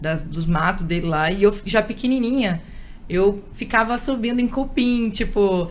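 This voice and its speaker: A woman talks fairly slowly with ordinary pitch variation, her voice picking up audible room echo amid noticeable background noise. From Espírito Santo, Brazil. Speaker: radio and event presenter. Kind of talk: interview.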